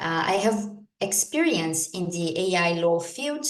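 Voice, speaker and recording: A woman with a fairly low pitch speaks at a moderate pace. Audible room echo surrounds her voice. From Brazil. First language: Portuguese. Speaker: lawyer and AI law expert. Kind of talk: conference talk. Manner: hesitant, with fillers.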